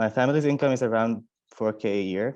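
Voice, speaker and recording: This man speaks with a non-native accent at a moderate pace. His pitch is medium for a man. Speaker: university student. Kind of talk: panel testimony.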